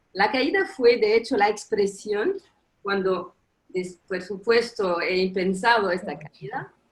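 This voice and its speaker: A woman with a non-native accent talks at a very slow pace. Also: medium pitch for a woman, ordinary pitch variation. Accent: foreign accent in Spanish. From Tunisia. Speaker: professor. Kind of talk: conference talk. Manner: halting.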